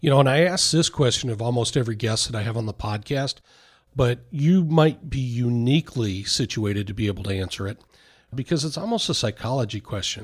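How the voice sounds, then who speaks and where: Somewhat breathy and fairly quick, a man speaks at medium pitch with lively intonation. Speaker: podcast host, wealth advisor. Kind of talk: interview.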